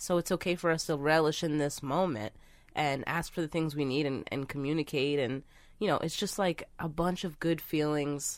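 Her pitch very deep and low, the woman varies it in an ordinary way. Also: very clean recording, silent background. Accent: American. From Philadelphia, US. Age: 20s. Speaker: comedian. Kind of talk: casual chat.

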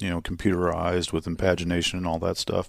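A man with an American accent and a very deep, low pitch is heard on a very clean recording with a silent background. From Indiana. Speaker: sports media relations director. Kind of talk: casual interview. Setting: arena office.

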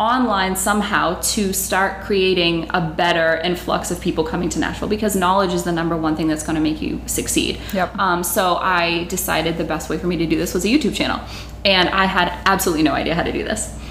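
A woman with an American accent talks at a fairly quick pace with hardly any pauses, her fairly low pitch held in fairly even intonation, over noticeable background noise and audible room echo. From Massachusetts. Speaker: music marketing business owner. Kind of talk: interview.

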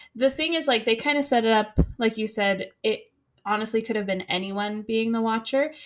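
On a very clean recording with a silent background, a woman talks at a fairly high pitch in a bright, sharp tone. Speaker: podcast host, school teacher. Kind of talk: casual chat.

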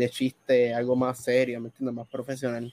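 With a Puerto Rican accent, a man speaks at a moderate pace in a medium pitch. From Puerto Rico, Bayamón. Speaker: gaming content creator. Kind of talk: casual chat. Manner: animated.

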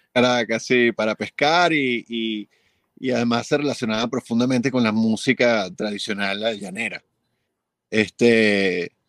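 A man with an ordinary speaking voice at a medium pitch talks fairly slowly, the sound dry and close with no echo in a very clean recording with a silent background. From Venezuela. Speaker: film and commercial composer. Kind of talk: interview.

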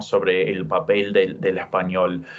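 A man with an English accent talks at a fairly slow pace. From US West (Utah, California). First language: English (speaking Spanish). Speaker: literature professor and author. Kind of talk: interview. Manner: halting, many repetitions and fillers.

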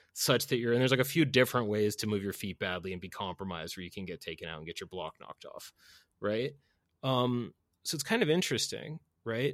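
A man with an American accent at medium pitch, very fast and with lively intonation and big swings in loudness, in a dry, close sound with no echo on a very clean recording with a silent background. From US Northeast (Boston). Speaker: podcast host. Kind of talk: casual chat.

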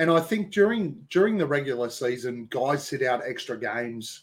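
This speaker has an Australian accent and lively intonation. The pace is moderate. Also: man. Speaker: basketball podcaster. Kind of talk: casual chat. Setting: video call.

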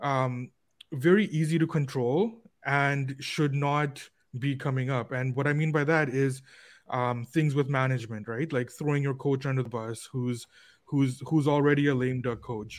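A man with a fairly high pitch and ordinary pitch variation talks at a fairly slow pace on a very clean recording with a silent background. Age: 30s. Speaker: sports betting analyst. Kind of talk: casual chat. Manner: halting.

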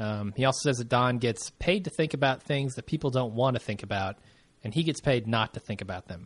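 At a fairly quick pace, a man talks in a normal speaking voice, medium in pitch with ordinary pitch variation. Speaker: podcast host. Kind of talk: casual recap chat. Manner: chatty, laughs often.

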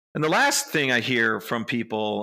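A man with an American accent talks at a moderate pace on a very clean recording with a silent background. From Chicago, Illinois. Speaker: real estate investment firm co-founder. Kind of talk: interview. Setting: office.

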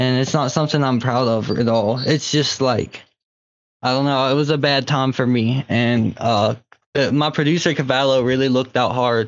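In an American accent, a man with an unremarkable speaking voice talks at a moderate pace and a medium pitch. His intonation is fairly even and his loudness very even. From Southwest Virginia. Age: 20s. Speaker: rapper. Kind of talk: casual chat. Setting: phone call.

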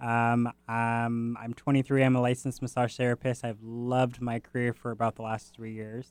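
A man with an American accent speaks at a moderate pace with hardly any pauses and a monotone, flat intonation. The recording is very clean with a silent background and a dry, close sound with no echo. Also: medium pitch for a man. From Washington State, Tacoma area. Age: 20s. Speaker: massage therapist and aspiring actor. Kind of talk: casual interview.

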